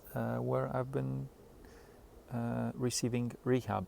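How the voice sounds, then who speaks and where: A man talks in a Polish accent. His pace is fairly slow. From Poland. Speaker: stroke survivor. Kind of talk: personal video diary. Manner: halting; hesitant with self-corrections.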